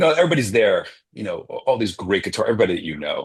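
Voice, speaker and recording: The background is quiet. A man talks at a very fast pace. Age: 60s. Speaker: jazz guitarist and professor. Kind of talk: interview. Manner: halting.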